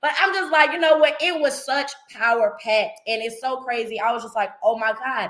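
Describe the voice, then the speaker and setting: With hardly any pauses, the speaker has an animated tone, lively intonation and an American accent over noticeable background noise. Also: woman, high pitch for a woman, moderate pace. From North Carolina. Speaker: livestream show host. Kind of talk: live stream casual talk.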